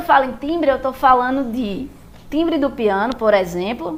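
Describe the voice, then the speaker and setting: A woman with a high pitch and lively intonation at a moderate pace, amid noticeable background noise. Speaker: music teacher. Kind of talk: lecture.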